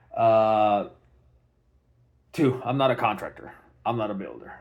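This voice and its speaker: A man with a non-native accent speaks fairly slowly at a fairly low pitch. The background is quiet. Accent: foreign, non-native English. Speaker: homeowner. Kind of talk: personal video documentation. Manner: halting, many fillers. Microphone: phone mic, no external mic.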